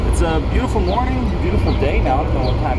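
A man speaks over loud background noise. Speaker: vlogger. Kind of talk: casual vlog chat. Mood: relaxed, cheerful. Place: street. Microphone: phone near.

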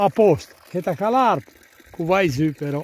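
A man speaks at a very slow pace with lively intonation, his voice dry and free of echo over light background noise. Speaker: solo hiker filming. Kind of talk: casual talk while hiking outdoors. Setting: outdoors. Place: open country. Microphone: phone near.

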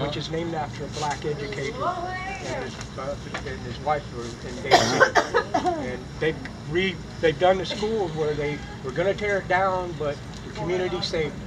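A moderate pace with long, frequent pauses over noticeable background noise. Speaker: community organizer promoting a local blues and heritage project. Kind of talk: casual panel or audience talk. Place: garden. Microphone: camera far.

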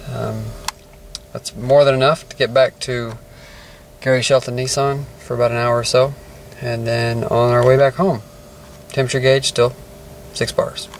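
The man speaks at a moderate pace in a monotone, flat intonation. The sound is dry with no echo, with light background noise. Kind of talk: casual vlog commentary. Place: car. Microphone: phone near.

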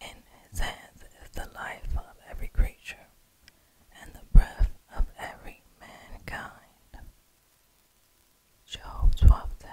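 Whispering in a gentle tone with an American accent, a woman speaks at a fairly slow pace, with long, frequent pauses and big swings in loudness. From New York City, United States. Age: 30s. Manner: slow, gentle, whispery ASMR delivery. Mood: prayerful, devout. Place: home room. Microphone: studio mic.

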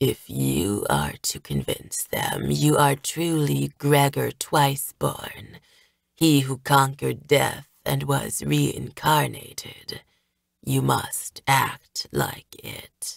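This husky, put-on character voice moves at a very slow pace. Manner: commanding.

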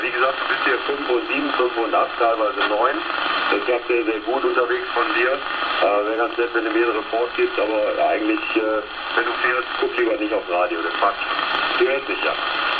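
A man talks at a moderate tempo, with noticeable background noise behind him. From Mönchengladbach, Lower Rhine, Germany. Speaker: CB radio operator. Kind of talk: radio contact exchange. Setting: CB radio transmission.

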